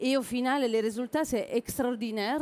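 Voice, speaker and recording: In a plain, everyday voice, a woman talks at a moderate pace with a fairly high pitch and ordinary pitch variation. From southern Italy. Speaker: chef. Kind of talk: cooking demonstration.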